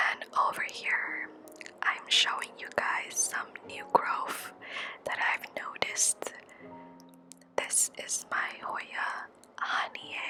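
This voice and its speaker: A woman whispers in a calm tone at a very slow pace, leaving long, frequent pauses, with music playing in the background. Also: big swings in loudness. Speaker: houseplant vlogger. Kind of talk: ASMR plant care vlog narration. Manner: whispered; calm, soft-spoken.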